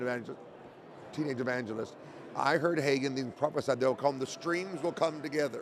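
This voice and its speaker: In an ordinary speaking voice with an American accent, the speaker uses ordinary pitch variation. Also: man. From Oklahoma, US. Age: 60s. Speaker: evangelist and podcast host. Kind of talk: casual interview conversation. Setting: convention interview.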